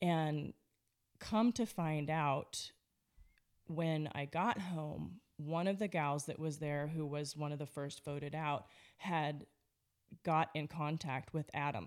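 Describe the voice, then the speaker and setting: Against a silent background in a very clean recording, a woman with a very deep, low voice speaks very slowly, with ordinary pitch variation and long, frequent pauses. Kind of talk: casual testimony interview. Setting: studio, across the table from host. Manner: loud, in-your-face.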